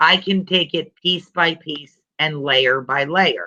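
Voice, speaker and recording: A woman with a normal speaking voice talks at a fairly slow pace, with ordinary pitch variation. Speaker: educational database trainer. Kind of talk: software demo tutorial. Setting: video call.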